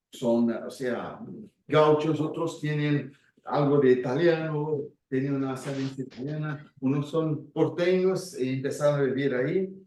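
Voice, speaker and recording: With a Brazilian accent and a dark, mellow tone, a man speaks at a fairly slow pace, fairly high in pitch, with fairly even intonation. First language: Portuguese (speaking Spanish). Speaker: speaker on Gestalt and community work. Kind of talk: talk with audience. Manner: halting.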